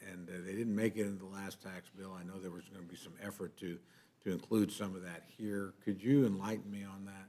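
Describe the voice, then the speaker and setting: Talking at a fairly quick pace, a man with a very deep, low voice keeps his intonation fairly even. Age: 60s. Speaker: congressman on rules committee. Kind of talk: committee hearing. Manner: halting, many fillers.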